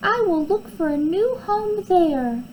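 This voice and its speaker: A woman's high-pitched, put-on character voice with very wide pitch swings at a fairly slow pace, against clear background noise. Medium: read story. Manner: soft, gentle.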